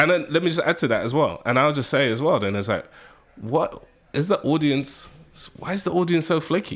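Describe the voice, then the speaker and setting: Speaking at a fairly quick pace with a British accent, a man uses lively intonation, a fairly high pitch and vocal fry. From UK. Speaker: media executive and marketing professor. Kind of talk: interview. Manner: animated.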